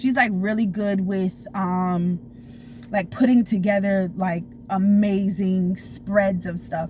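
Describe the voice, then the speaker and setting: Her tone is animated and somewhat breathy as a woman speaks at medium pitch. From Florida. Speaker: storytime vlogger. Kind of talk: casual storytelling. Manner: fast.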